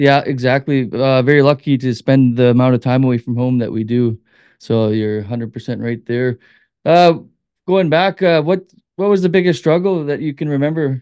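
Recorded dry and close with no echo, a man with a Canadian accent speaks at a medium pitch in a dark, mellow tone. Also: ordinary pitch variation, moderate pace, quiet background. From Manitoba, Canada. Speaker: hunting and fishing guide. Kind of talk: casual interview.

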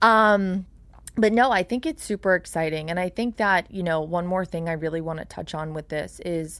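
With a Long Island accent, a woman talks at a moderate pace in a fairly low pitch, her pitch varying in an ordinary way. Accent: Long Island New York. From New York, Long Island. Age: 20s. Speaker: business owner. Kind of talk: casual chat. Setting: studio. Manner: loud.

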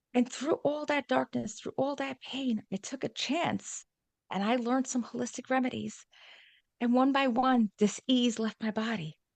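A woman with a New York accent speaks at a moderate pace in a high pitch with ordinary variation. The sound is dry and close, with no echo. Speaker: wellness coach and speaker. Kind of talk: casual interview chat.

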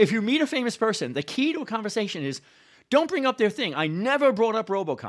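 Very fast speech in a New York accent, very clean recording with a silent background. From New York City, South Bronx. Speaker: history professor. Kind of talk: casual chat.

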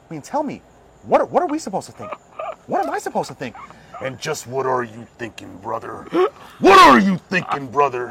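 Amid noticeable background noise, a man talks at a fairly quick pace with big swings in loudness and long, frequent pauses. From Maryland, US. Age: 30s. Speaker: podcast host. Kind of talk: casual chat. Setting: outdoors.

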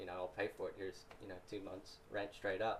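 A man with an American accent, fairly low pitch, a somewhat breathy sound, monotone, flat intonation, and a very fast pace. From US Midwest (Ohio). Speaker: podcast guest. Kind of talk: casual chat. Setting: studio.

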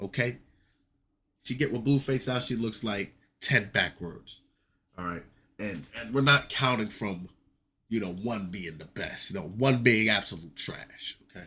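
A man's medium pitch with ordinary variation and a bright, sharp tone, at a fairly slow pace with long, frequent pauses and big swings in loudness. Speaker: solo podcast host. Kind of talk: casual solo commentary. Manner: animated.

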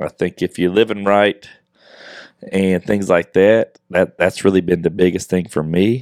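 Very deep and low in pitch, a man speaks in a relaxed tone at a fairly slow pace with fairly even intonation, the sound dry and close with no echo. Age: 40s. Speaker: podcast co-host. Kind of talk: casual chat. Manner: casual, relaxed.

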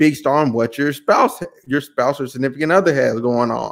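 An unremarkable speaking voice at a fairly quick pace with ordinary pitch variation. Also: man. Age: 20s. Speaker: podcast host. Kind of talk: casual chat.

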